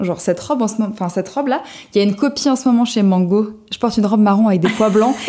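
Her pitch is fairly high, and it varies in an ordinary way. The woman speaks at a very fast pace. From southern France, Cannes. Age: 20s. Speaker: journalist and vintage blogger. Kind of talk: casual interview.

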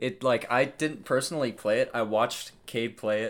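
At a fairly quick pace, the speaker uses an ordinary speaking voice with ordinary pitch variation. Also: man. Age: young. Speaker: co-host, host's brother. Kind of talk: casual chat.

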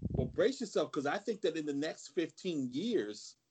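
The intonation sounds lively. A man delivers it at a moderate pace. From New Jersey. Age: 50s. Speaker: anti-fascist activist. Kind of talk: interview.

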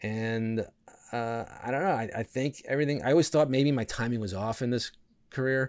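With an American accent, a man talks in a plain, everyday voice at a medium pitch, using ordinary pitch variation at a moderate pace. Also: very clean recording, silent background. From New York, Westchester suburbs. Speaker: comedian. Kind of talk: casual chat.

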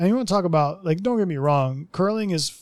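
A man with a plain, everyday voice speaks at a moderate pace, his pitch varying in an ordinary way. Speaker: podcast host. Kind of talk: casual chat. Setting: remote recording.

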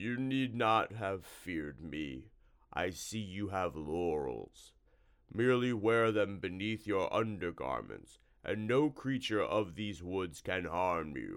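Using a put-on character voice, a man speaks at a fairly low pitch and a fairly slow pace. The recording is very clean with a silent background. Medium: read story. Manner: oddly polite, easily frightened.

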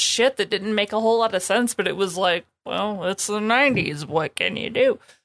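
With an American accent, a woman talks in an ordinary speaking voice at a medium pitch with ordinary pitch variation, in a very clean recording with a silent background. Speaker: podcast co-host. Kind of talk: casual chat.

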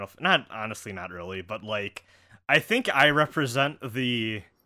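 Bright and sharp in tone, a man with an American accent uses lively intonation in a very clean recording with a silent background. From Wisconsin. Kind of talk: casual chat.

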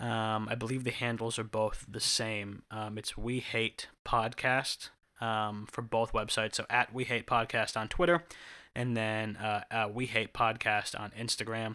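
Slow-paced and flat in intonation, a man at medium pitch speaks with a bright, sharp tone on a very clean recording with a silent background. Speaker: podcast host. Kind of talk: casual banter. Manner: rambling, filler words.

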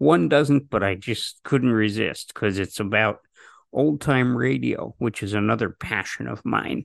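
Speaking fairly slowly with lively intonation, a man uses vocal fry at a fairly low pitch, in a dry, close sound with no echo and a quiet background. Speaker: podcast host. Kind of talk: interview.

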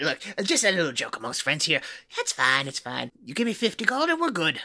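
Middle pitch and moderate pace in a put-on character voice. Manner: sleazy, evasive, wheedling.

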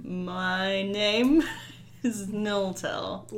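A woman's put-on character voice at a medium pitch for a woman, over clear background noise. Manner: playful, acted.

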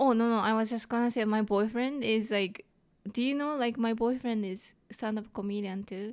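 In a strong Japanese accent, a woman speaks at a moderate pace with fairly even intonation and fairly high pitch. The recording is very clean, with a silent background. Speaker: comedian. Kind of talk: casual interview. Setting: studio.

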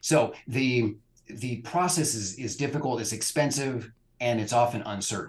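Here a man speaks with a West Coast accent. His medium pitch shows ordinary variation at a moderate pace. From California. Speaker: immigration lawyer. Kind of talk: interview.

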